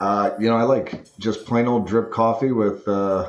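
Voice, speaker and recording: A man talks in a Boston accent at medium pitch. His pace is moderate and his intonation fairly even. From Massachusetts (Quincy). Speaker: businessman and cancer survivor. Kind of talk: casual interview chat.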